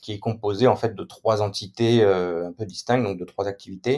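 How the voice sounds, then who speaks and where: A man's fairly low-pitched voice at a moderate pace, with fairly even intonation. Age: 30s. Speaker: software company founder. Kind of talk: interview. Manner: hesitant, many fillers.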